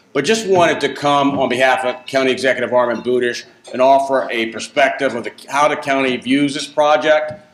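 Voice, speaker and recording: Speaking at a fairly quick pace with hardly any pauses, a man uses a fairly high pitch and ordinary pitch variation. Noticeable background noise is present. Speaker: county economic development official. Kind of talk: speech at a business luncheon. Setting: podium at a luncheon with audience.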